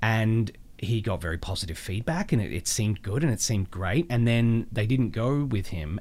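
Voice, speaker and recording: A man with an Australian accent. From Australia (Melbourne). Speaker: voice actor. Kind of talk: casual interview chat.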